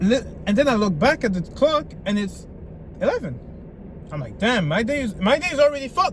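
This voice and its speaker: An animated man with a French accent at an extremely high pitch, with very wide pitch swings, a fairly quick pace, long and frequent pauses, and noticeable background noise. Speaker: self-improvement vlogger. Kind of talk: motivational vlog.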